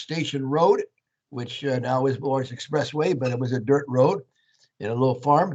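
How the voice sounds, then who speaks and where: Ordinary pitch variation marks a man's fairly high voice as he talks at a moderate pace. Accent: Californian. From US West Coast, Santa Clara, California. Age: 80s+. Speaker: Jesuit priest. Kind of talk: talk to students. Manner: conversational, frequent 'okay'.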